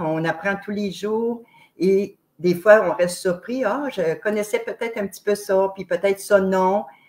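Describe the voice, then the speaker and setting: A woman with a Quebec accent speaks with ordinary pitch variation. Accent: Québécois French. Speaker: online show host. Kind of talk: interview introduction. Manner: loud; very expressive.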